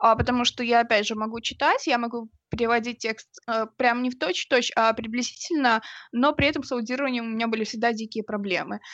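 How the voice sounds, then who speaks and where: This woman moves along fairly quickly, her intonation fairly even. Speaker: podcast co-host. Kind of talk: casual chat. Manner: assertive, argumentative.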